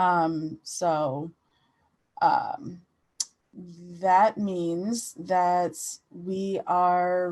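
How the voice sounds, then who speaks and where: With long, frequent pauses, a woman in an American accent talks at a medium pitch with ordinary pitch variation. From US Virgin Islands (Saint Croix). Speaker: writer and photographer. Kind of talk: interview. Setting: studio with audience.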